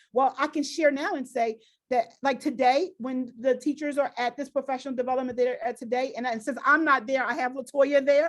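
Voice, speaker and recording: In a very clean recording with a silent background, a woman speaks fairly quickly in a high voice with fairly even intonation. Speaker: school district diversity director. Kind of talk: presentation Q&A. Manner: fast; halting.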